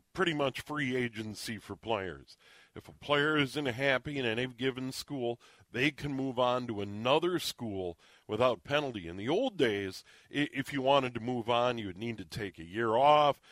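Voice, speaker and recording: A man talks at a moderate pace in a normal speaking voice, medium-pitched with lively intonation, on a very clean recording with a silent background and a dry, close sound with no echo. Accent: American. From Minnesota. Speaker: sports radio host. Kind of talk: radio interview.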